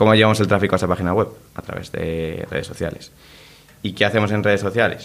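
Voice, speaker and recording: A man talking at a very fast pace with fairly even intonation. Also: fairly low pitch for a man. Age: 20s. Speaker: clothing brand co-founder. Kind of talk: interview.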